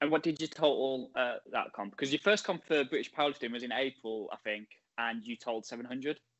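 A man at a medium pitch has an unremarkable speaking voice. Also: ordinary pitch variation. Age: 30s. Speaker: podcast host and lifter. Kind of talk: interview.

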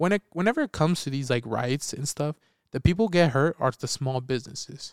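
A man's normal speaking voice, fairly high in pitch, at a fairly quick pace, with a dry, close sound and no echo. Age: 20s. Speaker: podcast co-host, movie reviewer. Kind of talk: casual chat.

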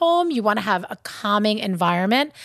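With a Long Island accent, a woman speaks in an animated tone at a moderate pace, her pitch swinging very widely, on a very clean recording with a silent background. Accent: Long Island New York. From Long Island, New York. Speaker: shop co-owner and podcast host. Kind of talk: casual chat. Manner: animated, chatty.

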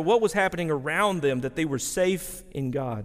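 This man has a Texan accent and lively intonation. He speaks at a moderate pace on a very clean recording with a silent background. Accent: Texan Southern US. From East Texas, rural. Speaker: pastor. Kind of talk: sermon. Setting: chapel with audience.

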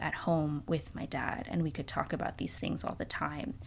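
A woman's fairly low voice with vocal fry, at a moderate pace. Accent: American. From East Texas, Houston. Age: 20s. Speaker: podcaster. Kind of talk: personal reflection monologue. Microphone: new donated podcast mic.

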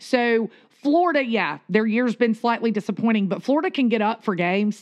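A woman with a Southern US accent talks at a fairly quick pace in a fairly high pitch. The background is quiet. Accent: Southern American. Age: 40s. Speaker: podcast co-host. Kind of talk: casual chat.

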